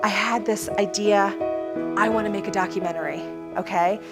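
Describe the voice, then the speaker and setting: Music plays in the background as a woman speaks at a moderate pace in an upbeat, energetic tone. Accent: American. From United States. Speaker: motivational speaker. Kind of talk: motivational talk to young audience.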